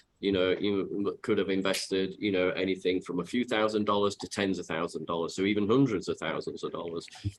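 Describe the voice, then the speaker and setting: A fairly low-pitched man with a Yorkshire accent, very fast, with hardly any pauses. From Yorkshire, northern England. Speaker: software company executive. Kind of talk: interview. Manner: hesitant, many fillers.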